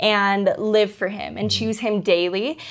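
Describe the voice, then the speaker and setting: Recorded very cleanly against a silent background, this is a normal speaking voice with fairly even intonation. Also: woman. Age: 20s. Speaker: missionary. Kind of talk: testimony.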